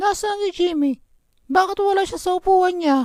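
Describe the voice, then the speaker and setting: A cartoonish character voice at an extremely high pitch moves along at a moderate pace. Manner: firm.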